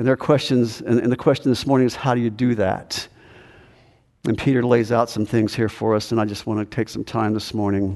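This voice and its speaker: An ordinary speaking voice at a fairly quick pace with fairly even intonation. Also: man, medium pitch for a man. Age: 60s. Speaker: pastor. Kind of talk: sermon. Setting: church.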